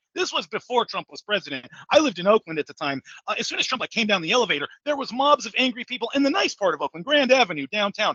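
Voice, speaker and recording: A man with an American accent, extremely high in pitch with very wide swings, raised and projected, bright and sharp, animated and very fast, in a dry, close sound with no echo. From California, San Francisco Bay Area (Hayward). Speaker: salesman and podcast host. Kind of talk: casual interview conversation. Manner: loud; animated, filler-heavy with repetitions.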